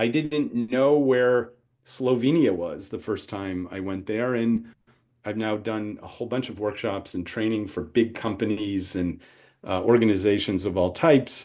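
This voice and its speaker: A man with an American accent has a plain, everyday voice, pitched fairly low with ordinary pitch variation. He speaks at a moderate pace against a quiet background. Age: 60s. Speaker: entrepreneurship professor. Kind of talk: webinar lecture.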